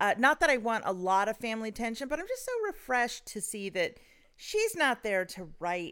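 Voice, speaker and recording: A woman speaks at a moderate pace in a fairly high voice, her pitch swinging very widely and her loudness shifting greatly, on a very clean recording with a silent background. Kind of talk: casual chat.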